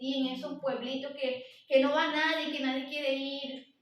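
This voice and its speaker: Noticeable background noise and audible room echo accompany a woman speaking high-pitched at a moderate pace. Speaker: lay preacher at women's church meeting. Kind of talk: sermon. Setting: church service.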